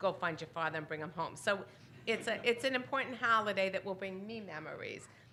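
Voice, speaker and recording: Loud and bright with a sharp tone, a woman speaks at medium pitch amid audible room echo. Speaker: synagogue announcements leader. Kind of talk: congregational announcements. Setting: synagogue service.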